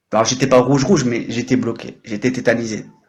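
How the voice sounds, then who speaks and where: This man's fairly quick speech is somewhat breathy. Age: 30s. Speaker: French tutor and livestreamer. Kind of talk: casual livestream chat. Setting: live stream. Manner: animated.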